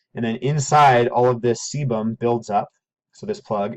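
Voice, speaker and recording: This man speaks fairly quickly, his pitch landing in the medium range. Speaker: teacher. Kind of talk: lecture. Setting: at home. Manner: fast.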